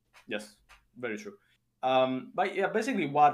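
At a moderate pace, a man speaks with an Italian accent. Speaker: podcast host. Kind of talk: casual interview chat.

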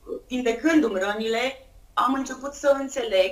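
This woman has a high voice and lively intonation. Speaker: entrepreneur and blogger. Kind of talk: interview testimony. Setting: remote call.

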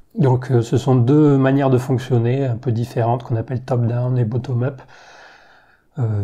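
Against a quiet background, a man speaks at a moderate pace and medium pitch. His voice is somewhat breathy with a dark, mellow tone. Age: 30s. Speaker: science YouTuber. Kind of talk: Q&A video monologue. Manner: hesitant with fillers.

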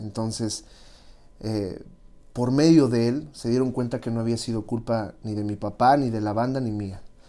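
This man's medium-pitched voice has a dark, mellow tone and fairly even intonation, delivered at a fairly slow pace on a very clean recording with a silent background. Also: long, frequent pauses. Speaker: music industry manager. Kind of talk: interview.

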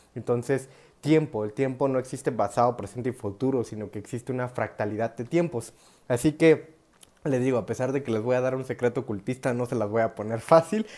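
A man with a dark, mellow tone speaks at medium pitch and a fairly quick pace, his pitch varying in an ordinary way. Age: 20s. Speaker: spiritual youtuber. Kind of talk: improvised monologue. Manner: casual, with laughter.

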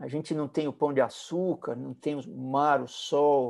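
A man's fairly high voice with a dark, mellow tone against a quiet background. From Brazil, São Paulo. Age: 60s. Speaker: musician. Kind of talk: interview.

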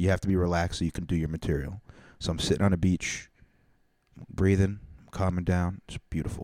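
A man's very deep, low voice at a very fast pace, with fairly even intonation, in a very clean recording with a silent background and a dry, close sound with no echo. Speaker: comedian and podcast host. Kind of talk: casual chat. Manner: loud.

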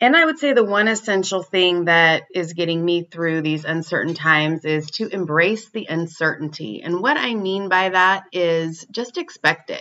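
Here a woman with a normal speaking voice talks at a moderate pace and fairly low pitch, with ordinary pitch variation and hardly any pauses. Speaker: professional musician. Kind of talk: recorded personal advice.

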